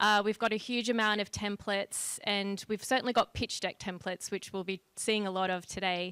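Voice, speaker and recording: Her tone is bright and sharp, yet her intonation stays monotone and flat at a medium pitch as this woman moves at a fairly quick pace with hardly any pauses. The sound is dry and close with no echo, and the very clean recording has a silent background. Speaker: company partnerships lead and juror. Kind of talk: public welcome speech. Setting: event with live audience.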